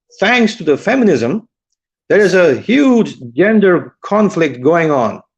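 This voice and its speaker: Speaking at a very slow pace, a man has a high-pitched voice. His pitch swings very widely. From India. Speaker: medical student, live stream guest. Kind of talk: casual debate on live stream.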